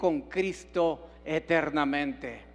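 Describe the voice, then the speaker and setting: Against a quiet background, a man with a fairly high voice speaks with ordinary pitch variation. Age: 70s. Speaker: pastor. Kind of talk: sermon.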